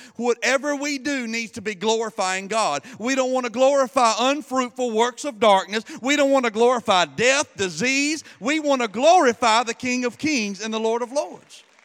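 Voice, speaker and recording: Here a man talks at a moderate pace with hardly any pauses. His pitch is extremely high. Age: 40s. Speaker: pastor. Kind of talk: sermon. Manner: hesitant with fillers.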